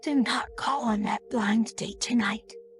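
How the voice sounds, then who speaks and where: A woman puts on a raspy character voice with a fairly high pitch, speaking at a fairly slow pace over clear music in the background. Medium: read story. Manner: insistent and eerily calm.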